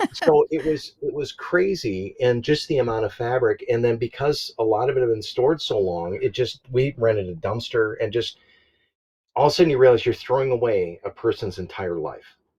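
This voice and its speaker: At a moderate pace, a man speaks in a somewhat breathy voice against a quiet background. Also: medium pitch for a man, lively intonation. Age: 60s. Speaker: full-time RV traveler and YouTuber. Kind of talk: casual podcast interview.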